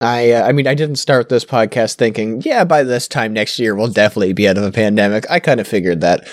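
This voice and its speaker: A man with a Canadian accent at a very fast pace, medium in pitch, with ordinary pitch variation. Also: hardly any pauses. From Canada. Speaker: podcast co-host. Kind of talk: casual chat. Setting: voice call over Discord.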